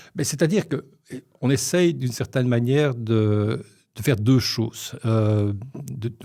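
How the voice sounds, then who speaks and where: A man's medium-pitched voice with a dark, mellow tone, a fairly slow pace and ordinary pitch variation. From Belgium, Brussels (Molenbeek). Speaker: media and marketing consultant. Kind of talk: podcast interview. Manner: hesitant, with false starts.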